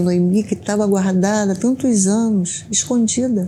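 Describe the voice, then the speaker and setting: Noticeable background noise sits behind a woman at a medium pitch. She talks at a fairly slow pace with ordinary pitch variation. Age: 60s. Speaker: domestic violence survivor. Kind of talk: testimony. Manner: halting.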